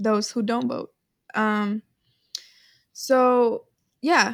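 The woman's pitch is fairly high and her intonation monotone and flat. She speaks at a very slow pace. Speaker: podcast co-host. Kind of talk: casual chat between friends. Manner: chatty, laughing.

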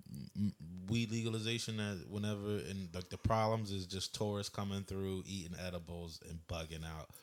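A plain, everyday voice from a man with an American accent, fairly low pitch, ordinary pitch variation and a fairly quick pace, on a very clean recording with a silent background. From Philadelphia area, US. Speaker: podcast co-host. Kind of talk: casual chat.

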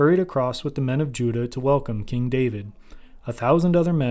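Plain reading of a text aloud

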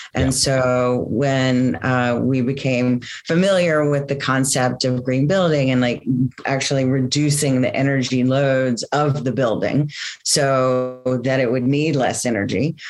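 A woman speaks slowly with a very deep, low pitch. Her loudness stays very even and her intonation fairly even, with noticeable background noise behind her. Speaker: company co-founder and sustainability business leader. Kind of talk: casual interview conversation.

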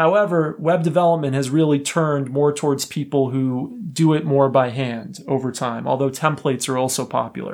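An unremarkable speaking voice from a man, fairly high in pitch with ordinary pitch variation, at a moderate pace with hardly any pauses, on a very clean recording with a silent background. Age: 30s. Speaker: podcast host explaining software. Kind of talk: educational explainer podcast.

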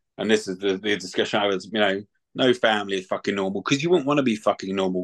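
At a very fast pace, a man with a London accent speaks in a fairly low voice with ordinary pitch variation. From London, England. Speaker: retired mixed martial artist and bare knuckle boxer. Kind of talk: casual chat.

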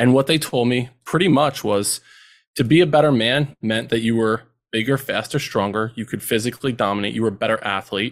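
A man with an American accent speaks at a fairly quick pace in a plain, everyday voice, medium in pitch with ordinary variation. The recording is very clean, with a silent background. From central New Jersey. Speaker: educator and men's mentoring program co-founder. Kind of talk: podcast interview.

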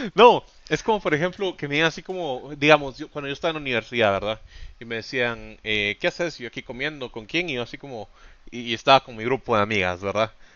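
Talking at a very fast pace, a man uses lively intonation at a medium pitch. His loudness swings widely. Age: 20s. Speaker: podcast co-host. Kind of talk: casual chat.

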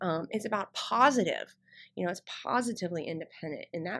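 The recording is very clean, with a silent background. A woman speaks at a moderate pace and a medium pitch. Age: 30s. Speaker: podcast host, entrepreneur. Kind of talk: solo podcast monologue. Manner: subdued, not her usual excited tone.

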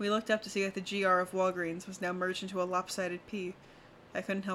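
The speaker reads text aloud. It is done in a natural voice.

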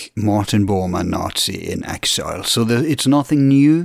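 A man speaks with a Norwegian accent. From Norway. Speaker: podcast host.

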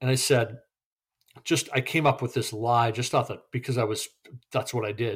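Long, frequent pauses break up a man's somewhat breathy, medium-pitched speech with fairly even intonation. The recording is very clean, with a silent background. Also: moderate pace. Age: 50s. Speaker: recovering gambling addict. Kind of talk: casual interview.

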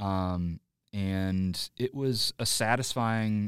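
A man's ordinary speaking voice, fairly low in pitch with fairly even intonation, on a very clean, dry, close recording with a silent background and no echo. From Illinois, Joliet area. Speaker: comedic actor and improviser. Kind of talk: casual interview chat.

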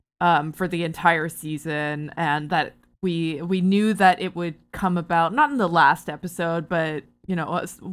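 A woman has an unremarkable speaking voice with fairly even intonation. Her recording is very clean, and the background is silent. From Ontario, Canada (Barrie). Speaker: TV and video game writer. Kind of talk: casual chat.

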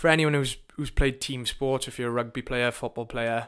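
A man with a Welsh accent and a bright, sharp tone, fairly even intonation, on a very clean recording with a silent background. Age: 20s. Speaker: personal trainer. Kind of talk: casual monologue. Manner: informal, sweary.

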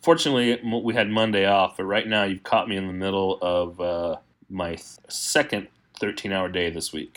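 A man with an American accent has a normal speaking voice and a fairly low pitch. He talks at a moderate pace with ordinary pitch variation. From Texas. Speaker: painter and art educator. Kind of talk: interview.

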